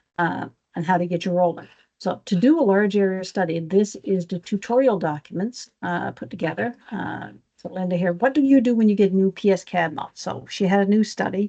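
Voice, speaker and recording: Dark, mellow tone from a woman at a fairly quick pace, with ordinary pitch variation. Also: medium pitch for a woman. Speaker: power systems engineer. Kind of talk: technical presentation. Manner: fast.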